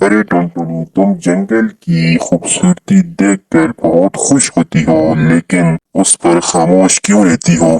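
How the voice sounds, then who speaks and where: Cartoonish character voice at a fairly slow pace. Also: man, very deep, low pitch for a man. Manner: friendly, earnest.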